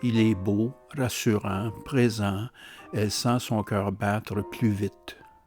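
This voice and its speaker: At a very slow pace, a man talks in a fairly low pitch with fairly even intonation while music plays in the background. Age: 70s. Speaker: novelist. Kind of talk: reading from own novel.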